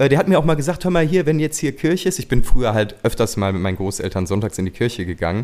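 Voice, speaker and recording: A man with a medium-pitched voice talks at a very fast pace, his pitch swinging very widely, with hardly any pauses. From western Germany (Gummersbach, Oberbergisches Land). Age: 30s. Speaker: singer-songwriter. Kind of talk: casual interview.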